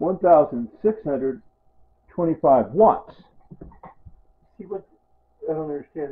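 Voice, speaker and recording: A man with a high pitch speaks at a fairly slow pace with lively intonation. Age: 60s. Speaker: home video blogger. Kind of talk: casual home video monologue.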